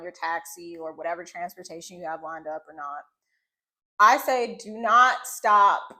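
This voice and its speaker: On a very clean recording with a silent background, a woman speaks at a moderate pace and medium pitch in a bright, sharp tone with ordinary pitch variation. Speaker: travel vlogger. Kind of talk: casual chat. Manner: loud.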